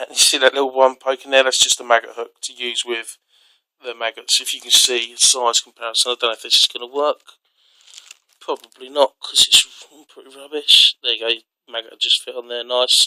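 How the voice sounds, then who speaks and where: A man with a British accent speaks fairly quickly in a medium pitch, his tone bright and sharp. His intonation stays flat and monotone while his loudness swings widely. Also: dry, close sound with no echo. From UK. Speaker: outdoor gear reviewer. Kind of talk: tutorial. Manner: casual, hesitant with fillers.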